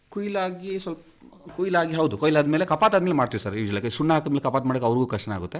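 A man speaks in a fairly high voice. His pitch swings very widely. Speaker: coffee farmer. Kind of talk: radio interview.

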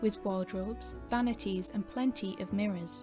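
Music plays behind a woman speaking at a medium pitch and a moderate pace. Her pitch varies in an ordinary way. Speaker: ASMR fanfiction narrator. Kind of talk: ASMR story narration.

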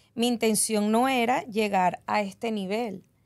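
Ordinary pitch variation from a woman. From Venezuela. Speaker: cleaning business owner; guest. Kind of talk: podcast interview. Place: studio. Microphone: studio mic.

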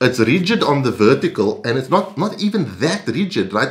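Against a quiet background, a man's voice swings very widely in pitch. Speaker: gear reviewer. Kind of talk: product review talk. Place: home room.

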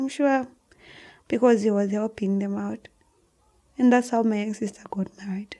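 Speaking at a moderate pace with long, frequent pauses, a woman with a Zambian accent has a fairly high pitch, a dark, mellow tone and fairly even intonation against a quiet background. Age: 20s. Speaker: guest sharing life story; podcast guest. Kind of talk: emotional personal testimony. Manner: halting, repeats words. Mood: earnest, telling a hard story. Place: studio. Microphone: studio mic.

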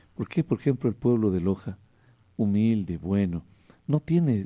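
The background is quiet as a man speaks with a fairly low pitch. His tone is dark and mellow, his intonation lively. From Ecuador. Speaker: radio host. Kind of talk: radio interview. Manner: animated. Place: studio. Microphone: studio mic.

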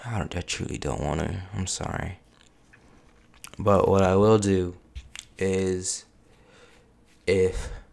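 Speech comes at a very slow pace with fairly even intonation and long, frequent pauses. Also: man, very deep, low pitch for a man. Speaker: YouTuber. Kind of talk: casual vlog intro. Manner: long pauses; low-energy.

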